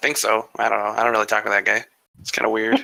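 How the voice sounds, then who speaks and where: A man puts on a raspy character voice at a medium pitch and talks at a very fast pace. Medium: actual play. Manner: wry, joking.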